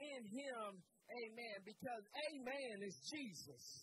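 A raised, projected voice with a bright, sharp tone and a warm, animated tone carries ordinary pitch variation, recorded dry with no echo but with noticeable background noise. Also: man. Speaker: pastor. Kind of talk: sermon. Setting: church. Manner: animated call-and-response preaching, urging the congregation to answer; warm, emphatic, punctuated by 'Amen' and 'Hallelujah'. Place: church. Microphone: handheld.

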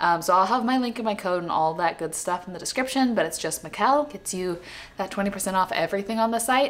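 A woman speaks at a fast pace. Her medium-pitched voice carries lively intonation.

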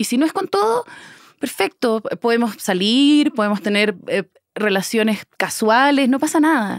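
A woman's fairly high voice, fairly slow and very even in loudness, with lively intonation, dry with no echo against a quiet background. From Chile. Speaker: actress. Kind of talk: casual interview conversation. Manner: talkative. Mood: reflective, candid. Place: studio. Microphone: studio mic.

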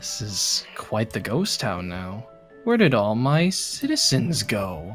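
A man's medium-pitched, put-on character voice at a fairly slow pace, with clear music in the background. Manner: scary, menacing.

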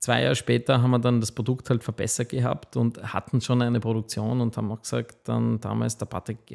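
Fairly even intonation from a man, quiet background behind him. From Austria, Waldviertel (Lower Austria); Lower Austria. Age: 40s. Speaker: food company founder; podcast guest. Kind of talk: interview. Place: studio. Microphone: studio mic.

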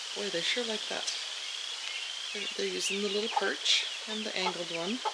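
Loud background noise runs through the clip. The speaking pace is moderate. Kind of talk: casual vlog chat. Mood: pleased, upbeat. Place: garden. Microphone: phone near.

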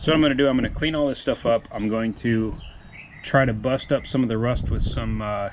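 A man talks fairly quickly, his intonation mostly even, with some light noise in the background. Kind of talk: tutorial. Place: garage. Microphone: phone near.

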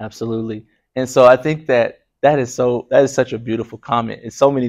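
In a quiet background, a man with a normal speaking voice talks at a medium pitch and moderate pace, his intonation fairly even. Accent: American. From Oklahoma. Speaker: research psychologist and musician; lecturer. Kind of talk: lecture. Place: classroom. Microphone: lapel.

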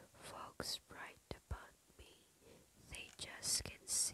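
A woman whispers her words at a very slow pace. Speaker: ASMR creator. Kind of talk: ASMR poetry reading. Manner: whispered. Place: home room. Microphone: studio mic.

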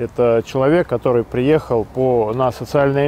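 A man talks at a fairly slow pace, the sound dry with no echo. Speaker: host of drug rehabilitation social project. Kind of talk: project introduction to camera. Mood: earnest, encouraging. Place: forest. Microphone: lapel.

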